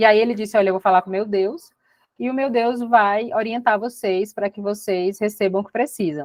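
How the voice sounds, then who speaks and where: A woman talks with a fairly high pitch. Her pitch varies in an ordinary way. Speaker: astrology and tarot teacher. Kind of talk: online workshop lecture. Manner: fast.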